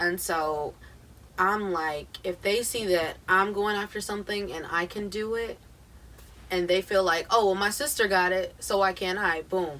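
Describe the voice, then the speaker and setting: A woman with an American accent speaks at a fairly slow pace in a bright, sharp tone. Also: medium pitch for a woman, ordinary pitch variation. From US Midwest, Akron, Ohio. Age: 20s. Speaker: singer-songwriter. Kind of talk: casual chat.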